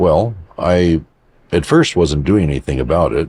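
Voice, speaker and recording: A man with an American accent at a fairly slow pace, with ordinary pitch variation. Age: 70s. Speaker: psychic healer, contactee. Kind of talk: interview. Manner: casual, meandering storytelling.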